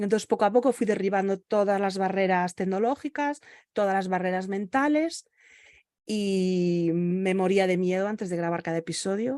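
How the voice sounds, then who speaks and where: In a dry, close recording with no echo and a quiet background, a woman with a dark, mellow tone speaks at a medium pitch and moderate pace with ordinary pitch variation. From Galicia, Spain. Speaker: virtual assistant and podcaster. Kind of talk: interview. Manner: halting, with many fillers.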